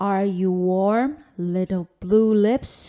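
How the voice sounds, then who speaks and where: Using a put-on character voice, a woman talks at a medium pitch. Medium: read story.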